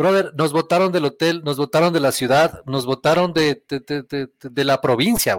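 With a plain, everyday voice, a man speaks at a fairly slow pace and a fairly high pitch with ordinary pitch variation, in a dry, close sound with no echo. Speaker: podcast guest. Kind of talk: casual chat. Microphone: borrowed computer, says sounds better.

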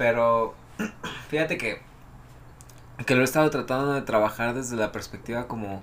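The speaker has a Mexican accent and a fairly even intonation. The pace is moderate, broken by long, frequent pauses. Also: man, medium pitch for a man. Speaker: podcast co-host. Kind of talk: casual chat.

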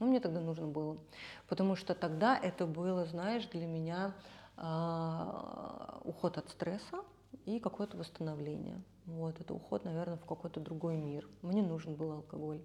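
Against noticeable background noise, a woman with a fairly low pitch talks at a fairly slow pace with ordinary pitch variation. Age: 30s. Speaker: makeup artist. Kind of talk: casual chat.

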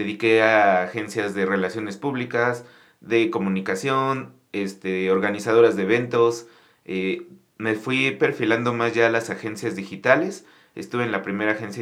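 Speaking at a moderate pace with a Mexico City accent, this voice shows ordinary pitch variation, and room echo can be heard. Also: man. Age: 30s. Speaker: restaurant entrepreneur. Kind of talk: casual interview.

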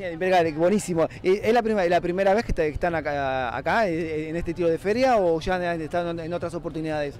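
This man has a high pitch and a fairly quick pace. He barely pauses at all. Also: ordinary pitch variation. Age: 40s. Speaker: radio host. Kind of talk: casual chat.

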